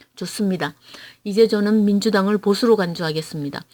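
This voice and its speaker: A woman's dark, mellow tone in a Gyeongsang accent. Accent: Gyeongsang dialect pronunciation. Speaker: political YouTuber. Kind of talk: prepared political commentary read aloud. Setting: at home. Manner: measured, read-aloud delivery.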